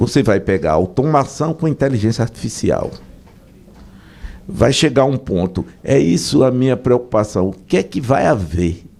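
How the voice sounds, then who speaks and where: A man speaks at a medium pitch with vocal fry and a dark, mellow tone. His pitch swings very widely at a moderate pace. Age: 60s. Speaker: business association president. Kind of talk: radio interview.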